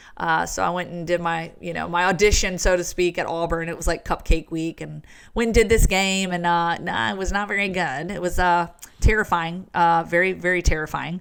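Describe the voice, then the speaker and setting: A woman with a Southern US accent and fairly low pitch talks at a fairly quick pace in a very clean recording with a silent background. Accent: Southern American. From Virginia, US South. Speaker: sports broadcaster. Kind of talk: podcast interview. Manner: animated.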